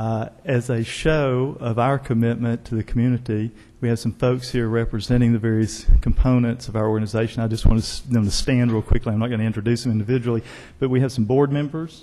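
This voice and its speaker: This man talks very fast with an Arkansas accent. His medium-pitched voice has a dark, mellow tone and a flat, monotone delivery. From Northwest Arkansas. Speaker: arts organization executive director. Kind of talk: formal remarks at city council meeting. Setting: council chamber.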